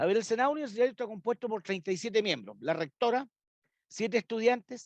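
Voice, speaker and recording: At a very fast pace, a man with a high pitch and ordinary pitch variation is heard in a dry, close sound with no echo. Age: 60s. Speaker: librarian and university academic. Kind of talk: interview conversation.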